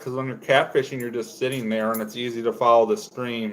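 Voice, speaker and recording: A man's voice over noticeable background noise. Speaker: fishing livestreamer. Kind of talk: casual chat. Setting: livestream. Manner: loud.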